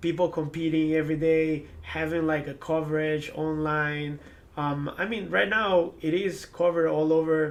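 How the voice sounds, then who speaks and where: This man has a fairly high voice and an Ecuadorian accent. His intonation stays fairly even. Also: moderate pace. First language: Spanish. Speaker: former esports pro player. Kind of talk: interview. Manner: hesitant, many fillers and repetitions.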